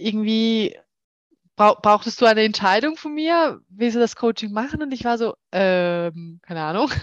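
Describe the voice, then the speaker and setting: Fairly slow speech, dry and close with no echo, over a quiet background. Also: woman. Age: 30s. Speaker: client of a dating coach, works in HR. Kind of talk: interview, personal testimony. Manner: hesitant with many fillers.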